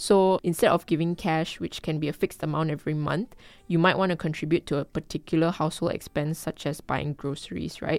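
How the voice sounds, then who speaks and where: The speech moves at a fairly quick pace with fairly even intonation and hardly any pauses. The very clean recording has a silent background and a dry, close sound with no echo. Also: woman, very deep, low pitch for a woman. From Malaysia, Kuala Lumpur. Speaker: personal finance educator. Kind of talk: casual chat.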